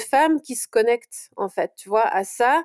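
This woman speaks at a fairly slow pace. She has a slight Belgian accent. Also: dry, close sound with no echo. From Belgium, Brussels. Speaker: portrait photographer. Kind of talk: interview.

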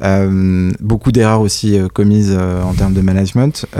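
A man's fairly low, dark, mellow voice at a fairly slow pace on a very clean recording with a silent background. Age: 30s. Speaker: entrepreneur, company founder. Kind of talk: interview. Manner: hesitant, many fillers and repetitions.

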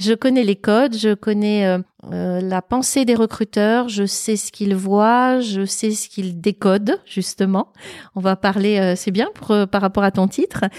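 Speaking in a normal speaking voice, a woman has medium pitch and fairly even intonation. The sound is dry and close with no echo. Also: fairly slow pace, very clean recording, silent background. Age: 50s. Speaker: public speaker and former recruiter. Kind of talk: casual interview. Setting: at her home.

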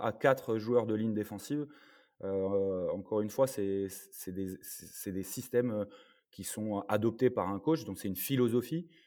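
A man with a dark, mellow tone and medium pitch talks at a fairly slow pace with ordinary pitch variation. His loudness swings widely in a very clean recording with a silent background. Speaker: former American football player and sports consultant. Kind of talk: casual chat.

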